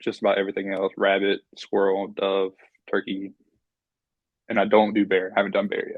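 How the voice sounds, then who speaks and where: A man with a North Carolina accent talks at a fairly quick pace, broken by long, frequent pauses. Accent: Southern US (North Carolina). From North Carolina, Piedmont near Raleigh. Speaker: hunter, wildlife management student. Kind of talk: casual interview.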